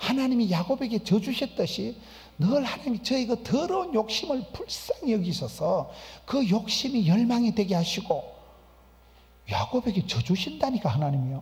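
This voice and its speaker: At a fairly quick pace, a man speaks. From rural Korea. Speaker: pastor. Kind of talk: sermon. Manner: animated.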